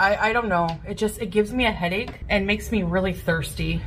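A woman speaks with faint music in the background. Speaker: food diary vlogger. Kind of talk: casual vlog chat. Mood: relaxed, chatty. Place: home room. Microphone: phone near.

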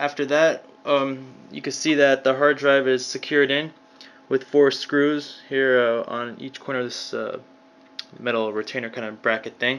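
A man with fairly even intonation at a moderate pace. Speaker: hobbyist repair demonstrator. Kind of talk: tutorial. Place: home room. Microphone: phone near.

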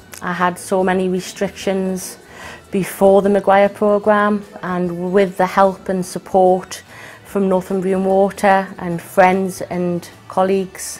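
Faint music plays behind a woman speaking very slowly. Her intonation is monotone and flat. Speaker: company employee. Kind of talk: interview answer. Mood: earnest, positive. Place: office. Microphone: lapel.

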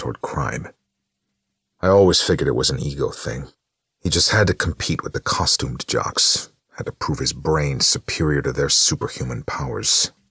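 In a raspy, put-on character voice, a man speaks at a very deep, low pitch and fairly quick pace, with a dry, close sound and no echo. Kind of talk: hard-boiled noir narration. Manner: wry, streetwise, sardonic.

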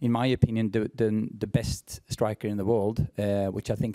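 In a quiet setting, a man's fairly low voice carries a dark, mellow tone. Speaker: team head coach. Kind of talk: press conference answer. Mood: pleased after big win. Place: hall. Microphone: podium.

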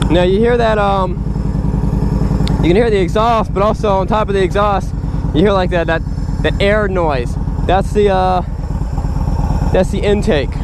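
The sound is dry with no echo, though the background noise is loud. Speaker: motorcycle dealership reviewer. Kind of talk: commentary. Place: motorbike. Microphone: helmet.

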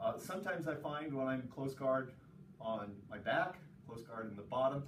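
Speaking at a moderate pace, a man with a fairly high voice shows ordinary pitch variation, with light background noise and audible room echo. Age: 60s. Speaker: jiu-jitsu instructor. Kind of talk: tutorial. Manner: casual. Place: gym. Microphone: camera far.

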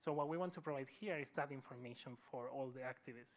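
A man with a Spanish accent talks at a fairly quick pace, his fairly high pitch showing ordinary variation. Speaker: speaker. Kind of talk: lecture. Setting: university hall with audience. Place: hall.

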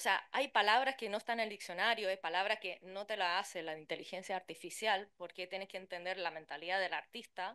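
Against a quiet background, a woman with a bright, sharp tone speaks at a fairly quick pace with ordinary pitch variation. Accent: Chilean. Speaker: translator and interpreter; conference panelist. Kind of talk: conference talk. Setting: conference room with interpreters. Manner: fast. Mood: lively, humorous. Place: hall.

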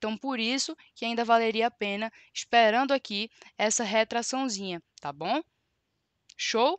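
Speaking at a fairly slow pace with long, frequent pauses, a woman with a fairly high pitch and ordinary pitch variation is heard in a dry sound with no echo against a quiet background. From Brazil, Recife (Pernambuco). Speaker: trading educator. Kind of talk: live-stream tutorial. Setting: live stream. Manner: animated. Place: home room. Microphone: headset.

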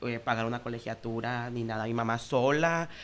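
With ordinary variation in pitch, a man talks at a moderate speed. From Escuinapa, Sinaloa, Mexico; Sinaloa, Mexico. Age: 20s. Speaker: nurse and social media comedian; social media comedian. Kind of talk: casual chat. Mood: candid, personal anecdotes. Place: studio. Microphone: studio mic.

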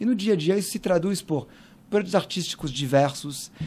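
A man speaks in a high voice with lively intonation. His pace is fairly quick. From France, Paris. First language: French (speaking Portuguese). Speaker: cultural center director; podcast guest. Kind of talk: interview conversation. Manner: hesitant with frequent fillers. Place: studio. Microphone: studio mic.

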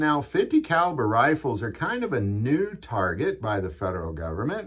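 A man speaks at a moderate pace, somewhat breathy, with very wide pitch swings. The background is quiet. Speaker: gun channel host. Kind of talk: commentary. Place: home room.

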